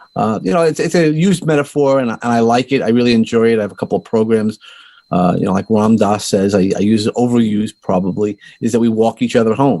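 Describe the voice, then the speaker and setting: A man at a medium pitch, dark and mellow in tone, at a very fast pace. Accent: slight Brooklyn. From US Northeast, Brooklyn, New York. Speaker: life coach and podcaster. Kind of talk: interview. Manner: halting, with repeated words.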